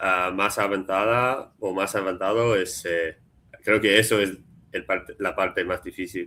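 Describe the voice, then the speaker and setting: On a very clean recording with a silent background, a man with an English accent speaks at a fairly slow pace in a fairly low pitch, with a bright, sharp tone and fairly even intonation. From US, Philadelphia. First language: English (speaking Spanish). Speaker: Spanish learner, software developer. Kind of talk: casual chat. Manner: halting, many fillers.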